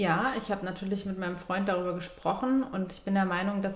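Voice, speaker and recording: A woman's voice with fairly even intonation amid noticeable background noise. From southern Germany. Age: 30s. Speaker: interviewee sharing personal health story. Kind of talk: personal testimony in casual interview.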